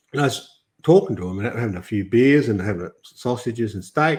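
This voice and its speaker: Lively intonation and a somewhat breathy sound mark this voice with an Australian accent. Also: man. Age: 60s. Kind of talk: podcast interview. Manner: halting, many restarts.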